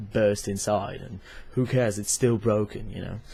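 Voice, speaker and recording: The man's voice is somewhat breathy and fairly low in pitch, with a non-native accent. His intonation is monotone and flat. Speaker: club photographer. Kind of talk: product review talk to camera. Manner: hesitant, many fillers.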